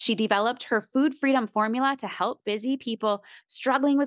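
Against a quiet background, a woman with a normal speaking voice talks at a fairly quick pace with ordinary pitch variation and a dry, close sound with no echo. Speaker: podcast host. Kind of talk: casual interview.

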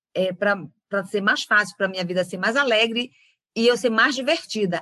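In a northern Brazilian accent, a woman speaks at medium pitch and a moderate pace. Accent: northern Brazilian (Pará). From Belém do Pará, northern Brazil. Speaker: facilitator, former psychologist. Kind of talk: interview.

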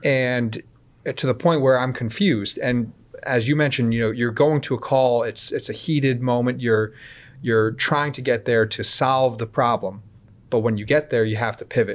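In an unremarkable speaking voice with an American accent, a man of medium pitch talks at a moderate pace with fairly even intonation. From Connecticut, US (Woodbridge). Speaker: police officer. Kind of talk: interview.

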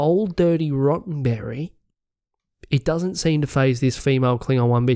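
The speaker talks at a fairly slow pace with an Australian accent. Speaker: podcast co-host. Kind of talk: casual chat.

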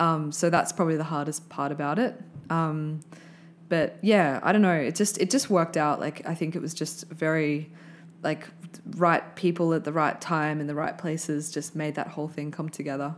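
A woman with an Australian accent speaks at a moderate pace with fairly even intonation and a very deep, low pitch. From Australia, Brisbane. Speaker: filmmaker. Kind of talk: casual interview.

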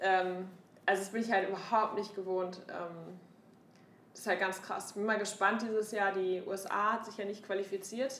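A woman talks at a moderate pace and medium pitch with flat, monotone intonation. Her loudness swings widely, and the room echo is audible. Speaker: podcast co-host, startup founder. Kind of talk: casual chat.

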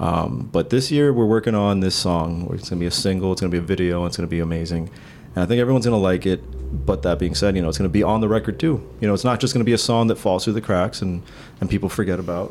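With music in the background, a man talks at a very fast pace. His pitch is very deep and low, and his intonation is lively. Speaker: guitarist in a band. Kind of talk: casual chat.

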